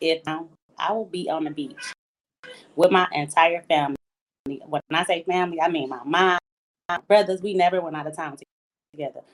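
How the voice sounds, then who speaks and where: The sound is dry and close with no echo. A woman with a fairly low pitch talks fairly quickly with fairly even intonation and long, frequent pauses. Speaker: guest. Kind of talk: casual conversation, answering host's question.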